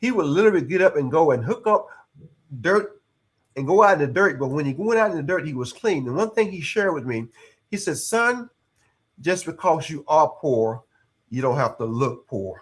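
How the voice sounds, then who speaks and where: In a Texas accent, a man speaks at a moderate pace with long, frequent pauses. His fairly high pitch swings very widely. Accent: Southern US (Texas). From East Texas. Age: 60s. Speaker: retired air force senior sergeant and executive coach. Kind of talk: interview conversation. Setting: live podcast.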